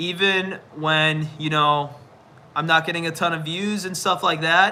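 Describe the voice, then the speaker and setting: A man with a high pitch, fairly even intonation and a fairly slow pace. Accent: American. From US Midwest, Chicago. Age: 20s. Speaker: live streamer and university student. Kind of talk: casual livestream chat. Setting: at home, phone on tripod. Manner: relaxed, filler-heavy.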